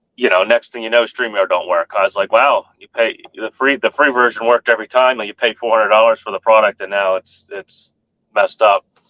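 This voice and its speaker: The speaker goes at a fairly quick pace, with big swings in loudness. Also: man. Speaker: truck driver streamer. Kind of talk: casual live stream chat. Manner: fast.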